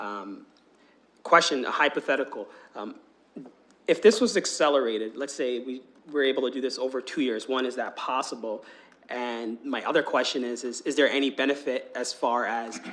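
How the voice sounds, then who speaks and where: Shaky and medium-pitched, a man talks at a moderate pace with ordinary pitch variation and long, frequent pauses. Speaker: police board member. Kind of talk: public meeting question.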